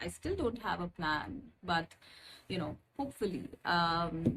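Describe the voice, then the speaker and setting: A woman's fairly low voice with vocal fry, very wide pitch swings and a fairly slow pace. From India. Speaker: spiritual guide, tarot reader. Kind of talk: channel introduction with card reading. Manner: hesitant, many fillers.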